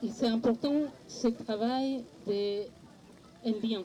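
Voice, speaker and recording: This speaker has a non-native accent and talks at a very slow pace. Long, frequent pauses break up fairly even intonation. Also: woman. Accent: noticeable foreign. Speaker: parent speaking at a political conference. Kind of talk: panel discussion. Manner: halting, many hesitations.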